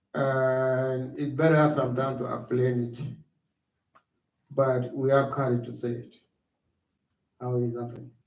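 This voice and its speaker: A man with a South Sudanese accent talks fairly slowly, in a monotone, flat intonation. He takes long, frequent pauses, and room echo is audible. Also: medium pitch for a man. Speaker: war refugee speaker. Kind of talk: school talk to students. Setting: school assembly, livestreamed.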